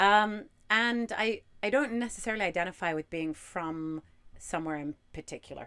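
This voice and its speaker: With lively intonation and a bright, sharp tone, a woman speaks at a moderate pace. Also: medium pitch for a woman. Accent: British. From Hong Kong. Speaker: sailing crew member. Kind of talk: casual chat.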